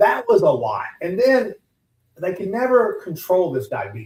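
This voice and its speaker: A man with a Texan accent speaks at a moderate pace with very wide pitch swings. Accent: Texan Southern US. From US South, Southeast Texas. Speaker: business owner, transplant survivor. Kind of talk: radio interview. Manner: halting, many repetitions and fillers.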